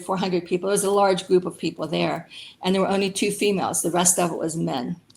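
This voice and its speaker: A woman with a Pennsylvania accent, medium pitch, a very fast pace, vocal fry and monotone, flat intonation. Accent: Pennsylvania American English. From rural Pennsylvania. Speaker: Air Force veteran, aircraft mechanic. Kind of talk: interview answer.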